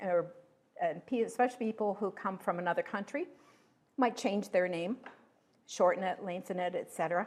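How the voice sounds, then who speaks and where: This woman speaks in an unremarkable speaking voice with an American accent. Her pitch is fairly low, with ordinary pitch variation. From Pennsylvania. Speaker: local history researcher. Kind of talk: talk to a history group.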